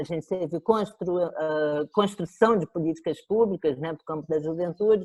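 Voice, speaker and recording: Her voice is fairly low for a woman, an unremarkable speaking voice with ordinary pitch variation. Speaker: professor of education. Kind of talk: lecture.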